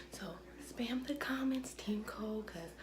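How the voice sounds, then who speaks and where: There is noticeable background noise and audible room echo. Through it, a woman speaks with ordinary pitch variation. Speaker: vlogger. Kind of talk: casual vlog. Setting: at home in apartment.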